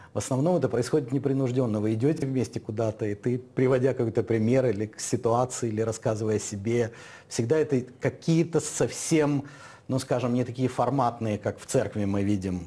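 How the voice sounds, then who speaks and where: A man speaks fairly quickly in a somewhat breathy voice, his pitch varying in an ordinary way. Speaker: talk show host. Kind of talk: studio discussion. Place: studio. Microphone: lapel.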